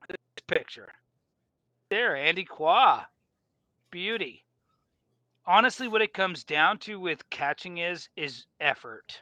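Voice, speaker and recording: A man with an American accent speaks very slowly in a high, raised, projected voice, his tone bright and sharp, with lively intonation, big swings in loudness, and long, frequent pauses. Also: dry, close sound with no echo, quiet background. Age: 40s. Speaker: sportfishing boat owner and captain. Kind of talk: casual interview. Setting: video call from a boat galley.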